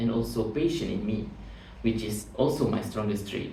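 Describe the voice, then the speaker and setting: A man talks at a medium pitch and a fairly quick pace. The room echo is audible, and there is noticeable background noise. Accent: Malaysian. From Malaysia, Batu Pahat (Johor). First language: Malay. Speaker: job interview candidate. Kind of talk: mock job interview. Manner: formal.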